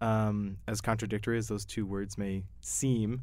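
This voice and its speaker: With an American accent, a man talks at a medium pitch in an ordinary speaking voice. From Yuma, Arizona, US. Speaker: podcast host. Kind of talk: interview.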